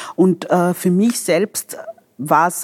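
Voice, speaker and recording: An ordinary speaking voice with ordinary pitch variation comes across dry and close, with no echo. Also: woman. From Vienna, Austria. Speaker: doctor and politician. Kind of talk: interview.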